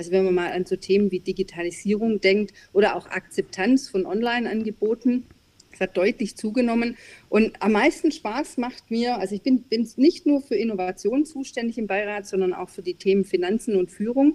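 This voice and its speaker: A woman's fairly high voice, dark and mellow in tone, with lively intonation. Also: moderate pace, dry, close sound with no echo. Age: middle-aged. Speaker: business advisory board member and consultant. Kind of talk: interview.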